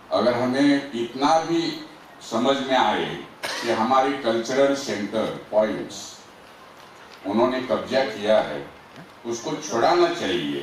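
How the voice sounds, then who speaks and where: A man's medium-pitched voice in a Marathi accent, ordinary pitch variation, long and frequent pauses, audible room echo and noticeable background noise. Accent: Marathi-accented Hindi. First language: Marathi (speaking Hindi). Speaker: activist. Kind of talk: speech to an audience.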